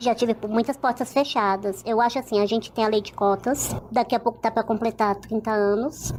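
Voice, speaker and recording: A woman talks at a fairly quick clip in a fairly high voice. Her intonation stays flat and monotone, with hardly any pauses. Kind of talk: interview testimony.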